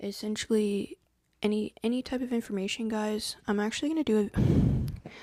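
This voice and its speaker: At a moderate pace, the talking comes across soft-spoken. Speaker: spiritual content creator. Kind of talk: live stream talk to viewers.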